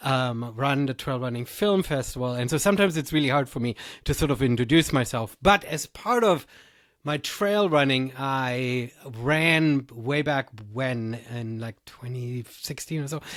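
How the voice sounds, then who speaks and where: On a very clean recording with a silent background, a man with a German accent speaks fairly slowly at a medium pitch with ordinary pitch variation. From Germany. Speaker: trail race director and podcaster. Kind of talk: podcast interview.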